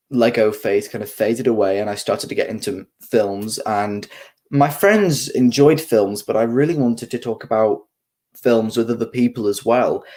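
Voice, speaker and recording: Here a man speaks at medium pitch. His pitch variation is ordinary. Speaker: film YouTuber. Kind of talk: live stream chat. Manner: fast.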